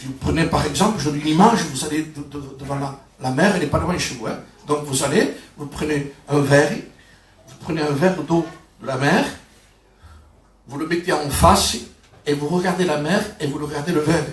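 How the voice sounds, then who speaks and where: A man speaks at a fairly quick pace with fairly high pitch and ordinary pitch variation. Long, frequent pauses break up his speech, and there is audible room echo and noticeable background noise. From southern France, Perpignan. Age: 60s. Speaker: pastor. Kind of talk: sermon. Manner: halting, with repetitions.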